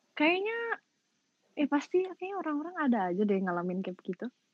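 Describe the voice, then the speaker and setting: Very wide pitch swings in a West Javanese accent. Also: woman. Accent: Sundanese-inflected Indonesian. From West Java (Sundanese region), Indonesia. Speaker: podcast guest, former entertainer and gamer. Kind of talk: casual chat. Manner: talkative, lively.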